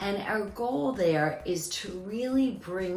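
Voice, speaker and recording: A woman's very slow speech amid audible room echo and noticeable background noise. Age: 60s. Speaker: dermatologist presenting her skincare line. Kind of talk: product presentation. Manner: formal.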